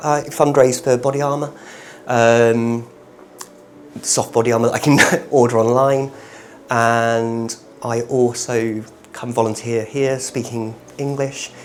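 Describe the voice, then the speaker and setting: Against noticeable background noise, a man with a British accent talks at a fairly slow pace in a monotone, flat way, with long, frequent pauses. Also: medium pitch for a man. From UK. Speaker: volunteer English teacher. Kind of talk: interview testimony. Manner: hesitant fillers.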